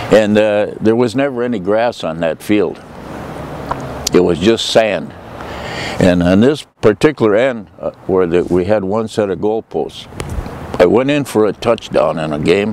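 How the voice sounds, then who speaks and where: With an American accent, a man talks at a fairly slow pace in a fairly low pitch, showing ordinary pitch variation and long, frequent pauses over noticeable background noise. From Minnesota, US Upper Midwest. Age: 80s+. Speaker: local elder, former athlete. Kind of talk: reminiscing interview. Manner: hesitant, many filler pauses.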